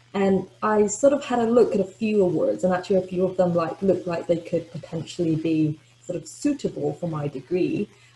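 A woman at a fairly quick pace with lively intonation, hardly any pauses, and audible room echo. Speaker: postgraduate scholarship recipient. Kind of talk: webinar talk about personal experience. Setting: video call. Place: home room. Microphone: webcam.

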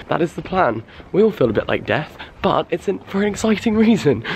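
A man with an English accent at a fairly quick pace, over light background noise. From England. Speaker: YouTuber. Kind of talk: vlog. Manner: animated. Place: street. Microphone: phone near.

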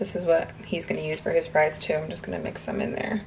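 Fast and low-pitched, a woman speaks with vocal fry and little pitch movement.

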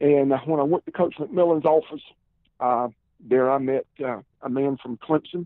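A man with a Southern US accent and a fairly high pitch. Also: ordinary pitch variation, moderate pace. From South Carolina, Columbia. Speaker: former football player and pro wrestler. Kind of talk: interview. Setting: phone call.

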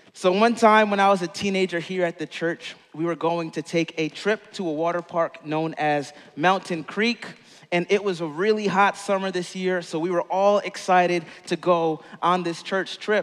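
A man's high voice at a moderate pace, with fairly even intonation against a quiet background. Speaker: pastor. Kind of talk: sermon. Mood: warm, smiling, storytelling. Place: stage. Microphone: headset.

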